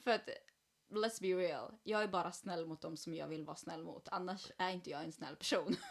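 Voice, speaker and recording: A woman's unremarkable speaking voice of medium pitch, with ordinary pitch variation, a moderate pace and big swings in loudness. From Sweden. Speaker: podcast host. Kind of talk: casual chat. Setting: at home.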